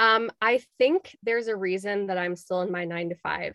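A woman with an American accent and a plain, everyday voice speaks at a fairly slow pace, in a medium pitch with ordinary pitch variation. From Chicago. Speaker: Reiki master and spiritual coach. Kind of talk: casual interview chat.

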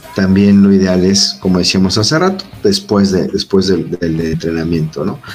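Over music in the background, a man with a very deep, low voice speaks at a moderate pace with ordinary pitch variation and hardly any pauses. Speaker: doctor and engineer explaining protein supplements. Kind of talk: casual explanatory chat. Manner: sounds stern or angry by default.

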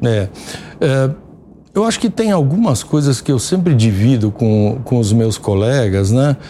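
Speaking at a fairly slow pace, a man with a medium-pitched voice uses lively intonation over noticeable background noise. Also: very even loudness. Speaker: business executive. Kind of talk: TV interview. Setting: studio. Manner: halting, many fillers.

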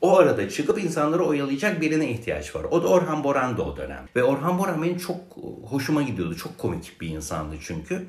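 A man speaks fairly quickly, with audible room echo and noticeable background noise around him. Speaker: music archivist and writer. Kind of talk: casual interview chat.

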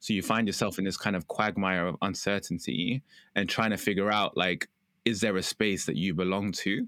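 A man with a London accent speaks at a fairly quick pace with ordinary pitch variation, on a very clean recording with a silent background and a dry, close sound with no echo. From London, England. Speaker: content creator and community founder. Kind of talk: casual interview chat.

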